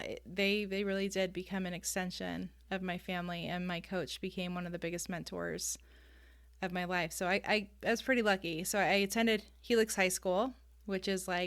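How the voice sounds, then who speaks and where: Someone with a Californian accent speaks in a flat monotone at a moderate pace on a very clean recording with a silent background. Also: woman, medium pitch for a woman. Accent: General American (Californian). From US West Coast, San Diego, California. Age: 30s. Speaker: ADHD life coach and youth soccer coach. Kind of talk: podcast interview.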